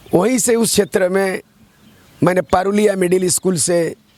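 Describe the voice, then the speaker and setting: A man speaks with a high-pitched voice. Noticeable background noise runs underneath. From Jharkhand, East Singhbhum near Odisha border. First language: Santali (speaking Hindi). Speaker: politician and poet. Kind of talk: interview.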